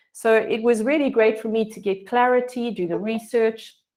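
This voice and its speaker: A woman's fairly high voice with a South African accent. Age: 50s. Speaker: health coach. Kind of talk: online presentation. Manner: hesitant, many fillers.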